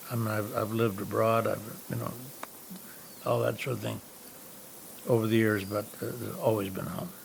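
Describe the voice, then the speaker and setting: A man with an American accent speaks at a moderate pace with long, frequent pauses, amid noticeable background noise and audible room echo. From upstate New York. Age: 90s. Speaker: historic house owner. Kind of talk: documentary interview. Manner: halting, many fillers.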